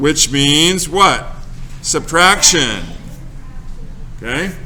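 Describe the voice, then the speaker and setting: A man's fairly high voice with ordinary pitch variation at a very slow pace, with audible room echo and noticeable background noise. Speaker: teacher. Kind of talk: classroom lesson. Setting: classroom. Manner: loud.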